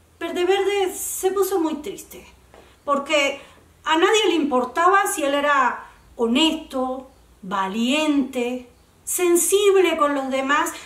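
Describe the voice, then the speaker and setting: The speech is very slow, with lively intonation. Room echo is audible. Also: woman, high pitch for a woman. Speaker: oral storyteller. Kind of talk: children's story reading.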